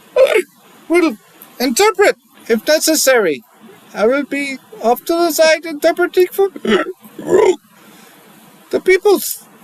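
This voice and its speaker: A put-on character voice from a man, extremely high in pitch, at a fairly slow pace. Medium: actual play.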